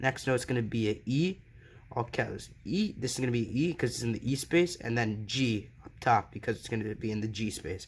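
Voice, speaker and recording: A man's plain, everyday voice at medium pitch and a moderate pace. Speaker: piano teacher. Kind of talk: tutorial.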